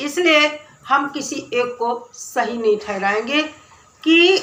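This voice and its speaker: Noticeable background noise under very wide swings in pitch. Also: woman. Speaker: YouTube commentary vlogger. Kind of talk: opinion commentary vlog.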